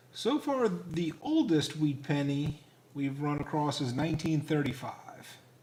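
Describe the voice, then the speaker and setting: With an American accent and a plain, everyday voice, a man talks at a fairly slow pace, his fairly high pitch carried by lively intonation. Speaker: coin collecting live streamer. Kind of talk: casual live stream chat. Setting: live stream.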